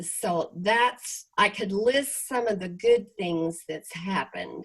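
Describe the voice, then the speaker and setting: A woman speaks very slowly in a somewhat breathy voice. Her pitch is medium, with ordinary variation. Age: 80s+. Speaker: real estate company leader. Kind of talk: interview on video call. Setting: video call.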